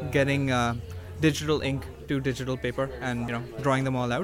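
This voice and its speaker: A man's medium-pitched voice with ordinary pitch variation at a fairly quick pace, over noticeable background noise. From Toronto area, Canada. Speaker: comic book artist and writer. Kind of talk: interview. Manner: halting, many fillers.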